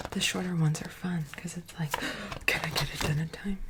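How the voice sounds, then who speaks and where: A woman whispering at a fairly slow pace in a relaxed tone, with noticeable background noise. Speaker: ASMR channel host and artist. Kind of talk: casual soft-spoken ramble to camera. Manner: soft-spoken, relaxed.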